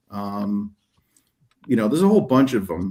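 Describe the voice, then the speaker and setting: A man with a slight New Jersey accent. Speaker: detailing YouTuber and soap maker. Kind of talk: casual interview chat. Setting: video call from a hotel room.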